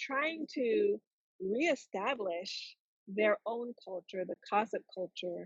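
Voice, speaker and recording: A woman speaks at a fairly slow pace with lively intonation. Her voice is fairly high in pitch and somewhat breathy. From Jamaica. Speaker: trauma recovery coach. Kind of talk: interview answer.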